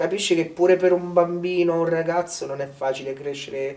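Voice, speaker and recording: A high-pitched man with a Romanian accent, moderate pace and flat, monotone delivery, amid noticeable background noise. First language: Romanian (speaking Italian). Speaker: village resident. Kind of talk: interview.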